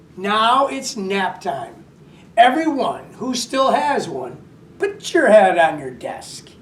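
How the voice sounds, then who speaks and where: Cackling in a put-on character voice, a woman speaks at a very slow pace with a fairly high pitch that swings very widely. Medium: read story. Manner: cackling, gleeful, menacing.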